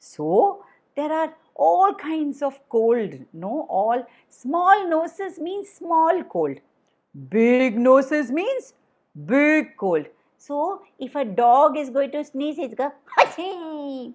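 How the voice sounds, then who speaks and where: A woman speaks at a high pitch in a sing-song way with very wide pitch swings. Her pace is very slow. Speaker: storyteller. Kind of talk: children's storytelling session. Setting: online video call. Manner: singsong.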